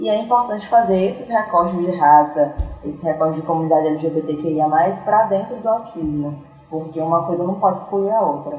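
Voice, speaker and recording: A woman's fairly low voice with lively intonation, audible room echo and noticeable background noise. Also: moderate pace. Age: 20s. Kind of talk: casual interview conversation.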